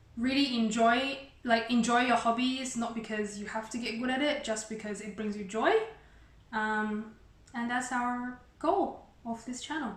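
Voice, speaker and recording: With a Chinese accent, a woman speaks fairly slowly at a fairly high pitch and fairly even intonation, over noticeable background noise and audible room echo. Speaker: YouTuber. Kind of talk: casual chat. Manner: halting.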